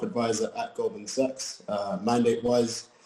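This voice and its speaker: A man with a London accent talks at a fairly slow pace and medium pitch. His intonation is fairly even. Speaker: private wealth advisor, panelist. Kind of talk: panel discussion.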